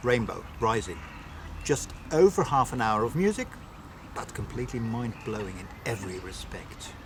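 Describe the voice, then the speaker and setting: A man at medium pitch speaks at a moderate pace with lively intonation and big swings in loudness. Long, frequent pauses break up his speech against noticeable background noise. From Netherlands. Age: 60s. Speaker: metal singer. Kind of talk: interview answers.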